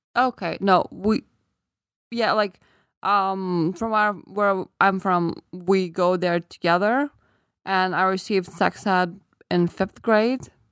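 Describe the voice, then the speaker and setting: A woman at a medium pitch with a Lithuanian accent, fairly even intonation and a very slow pace, in a very clean recording with a silent background and a dry, close sound with no echo. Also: very even loudness. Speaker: podcast co-host. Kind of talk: casual chat.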